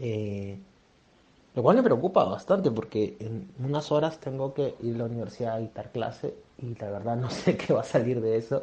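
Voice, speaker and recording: Somewhat breathy, with a dark, mellow tone, a man speaks at a moderate pace in a medium pitch with ordinary pitch variation. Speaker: university lecturer. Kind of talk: recorded voice message. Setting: voice message sent by WhatsApp.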